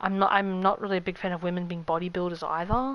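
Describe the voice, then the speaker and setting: A woman is speaking. She talks at a fairly quick pace. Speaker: video game streamer. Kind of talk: casual chat. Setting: live stream. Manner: halting.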